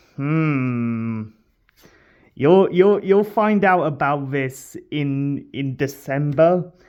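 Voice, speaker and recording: The speaker is mumbling. The pace is very slow. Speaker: card-opening YouTuber. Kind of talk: unboxing video commentary. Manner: low energy, halting.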